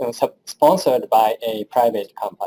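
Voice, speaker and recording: With a Japanese accent, this man has a dark, mellow tone. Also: dry, close sound with no echo. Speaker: engineering professor. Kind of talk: lecture. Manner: halting.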